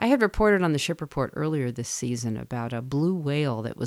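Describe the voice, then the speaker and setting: A woman speaks at a fairly quick pace in a very deep, low pitch with an American accent, on a very clean recording with a silent background. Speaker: radio host. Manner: steady, matter-of-fact, clipped and precise.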